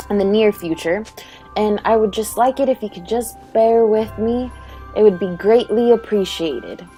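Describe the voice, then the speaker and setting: Music plays in the background as a woman speaks at a moderate pace. Her pitch is fairly high, with ordinary variation. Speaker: gamer. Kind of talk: gameplay commentary voiceover. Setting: low-quality home microphone.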